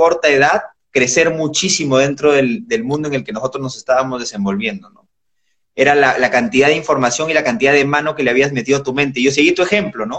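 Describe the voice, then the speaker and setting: A man speaks at a very fast pace with a fairly high pitch. His pitch varies in an ordinary way. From Peru. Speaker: entrepreneur. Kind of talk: casual interview. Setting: Instagram live.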